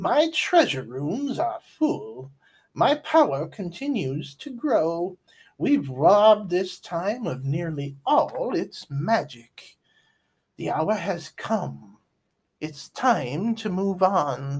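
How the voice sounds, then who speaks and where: A man in a put-on character voice, high-pitched, very slow, with very wide pitch swings. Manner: menacing, commanding.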